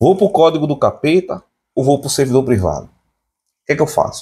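A man with vocal fry speaks in an animated tone at a fairly quick pace, with lively intonation. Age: 30s. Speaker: tech YouTuber. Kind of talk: casual vlog monologue. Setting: home. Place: home room. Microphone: phone near.

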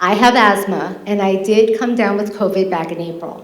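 A woman's medium-pitched voice at a moderate pace, with noticeable background noise and audible room echo. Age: 50s. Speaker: public commenter at legislature meeting. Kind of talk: public comment speech. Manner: impassioned.

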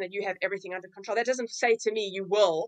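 A woman speaks with a dry, close sound and no echo. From South Africa. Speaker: personal impact specialist, trainer. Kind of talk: casual interview chat.

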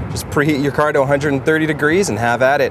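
A man speaks at a fairly quick pace. The sound is dry with no echo, and light background noise is present. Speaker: news site video host. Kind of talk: casual taste-test commentary. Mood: playful, jokey. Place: street. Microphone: camera far.

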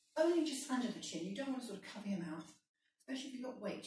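A woman's high voice with a dark, mellow tone at a very fast pace, amid light background noise and audible room echo. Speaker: fitness instructor. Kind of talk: exercise class instruction. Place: kitchen. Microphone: camera far.

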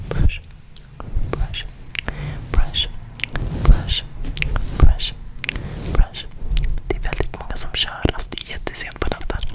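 Soft-spoken and whispering, a woman talks at a very slow pace with long, frequent pauses. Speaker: ASMR creator. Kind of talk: whispered ASMR talk. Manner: soft close-mic ASMR whisper. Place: home room. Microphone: studio mic.

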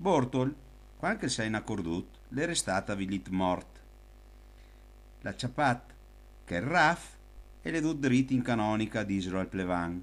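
With a fairly low pitch and very wide pitch swings, a man speaks at a fairly slow pace in a very clean recording with a silent background. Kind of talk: folk anecdote told in local dialect.

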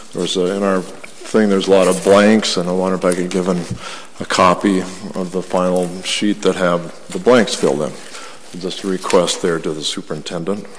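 The pace is moderate. Light background noise sits behind the voice. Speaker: school board member. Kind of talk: public meeting debate. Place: meeting room. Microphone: podium.

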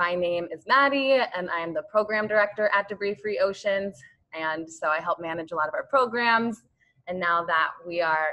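A woman's speech, with ordinary pitch variation and a moderate pace, plays against a quiet background. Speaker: nonprofit program director hosting. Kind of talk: webinar host introduction. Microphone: video call.

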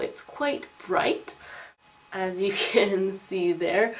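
The pitch swings very widely while noticeable background noise runs underneath. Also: woman. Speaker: beauty vlogger. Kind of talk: casual vlog haul.

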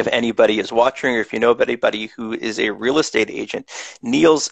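A man talks at a fairly quick pace, the sound dry with no echo and the background quiet. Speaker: podcast host. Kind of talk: interview host introduction. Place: home room. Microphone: headset.

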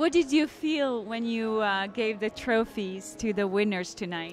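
Faint music plays behind a woman whose fairly high voice has lively intonation, moving at a fairly slow pace in dry sound with no echo. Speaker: documentary filmmaker and interviewer. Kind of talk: interview questions. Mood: cheerful, animated. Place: hall. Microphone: handheld.

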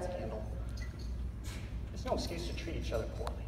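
Over noticeable background noise, a man with an American accent speaks at a very fast pace. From Northeastern Colorado. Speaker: motivational speaker, Marine veteran. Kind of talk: keynote speech to a live audience. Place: hall.

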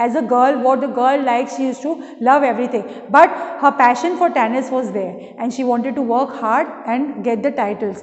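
With an Indian accent, the speaker keeps a moderate pace and fairly even intonation, and room echo is audible. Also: woman, high pitch for a woman. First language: Hindi. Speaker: school English teacher. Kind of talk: lecture. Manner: reads textbook passages aloud with explanations. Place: classroom. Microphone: camera far.

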